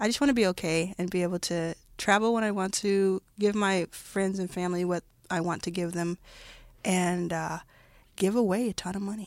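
In a very clean recording with a silent background, a woman with an American accent uses a normal speaking voice at a medium pitch, a moderate pace and fairly even intonation. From US South, Dallas, Texas. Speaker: venture capitalist. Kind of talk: interview.

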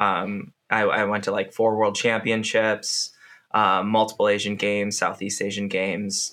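A man speaks with an American accent at a fairly low pitch, his tone bright and sharp and his intonation monotone and flat. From Wisconsin, US Midwest. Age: 30s. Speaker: triathlete and former elite swimmer. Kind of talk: casual interview chat. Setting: podcast recording.

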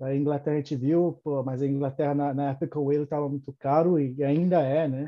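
Speaking at a fairly quick pace, a man keeps a monotone, flat intonation at a fairly high pitch. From Brazil, São Paulo. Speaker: electrical engineer and immigrant. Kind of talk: casual interview. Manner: halting, many repetitions.

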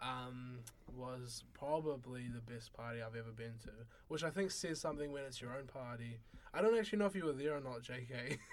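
With a New Zealand accent, a man speaks at medium pitch and a fairly quick pace with ordinary pitch variation, and the room's echo is audible. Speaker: university student. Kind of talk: casual chat.

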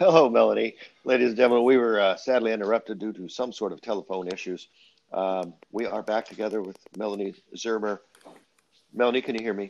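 At a very fast pace, a man with a fairly low voice and ordinary pitch variation speaks with big swings in loudness. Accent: American. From Central Valley of California. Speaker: talk show host. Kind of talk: casual interview.

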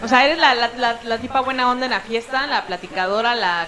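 Noticeable background noise sits behind a woman's voice. She speaks at a moderate pace with a high pitch. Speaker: comedian. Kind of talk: casual chat. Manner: speaks with authority.

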